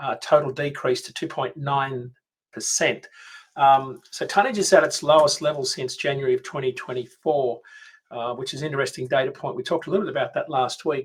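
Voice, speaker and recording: A man with a fairly high, somewhat breathy voice talks at a fairly quick pace with ordinary pitch variation. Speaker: freight market analyst. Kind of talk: market update presentation.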